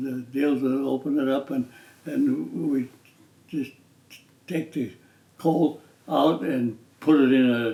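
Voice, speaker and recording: A man with an American accent speaks at a very slow pace, with long, frequent pauses. His voice is fairly high in pitch but dark and mellow in tone. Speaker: retired professional basketball player. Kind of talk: interview answer. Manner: slow, hesitant.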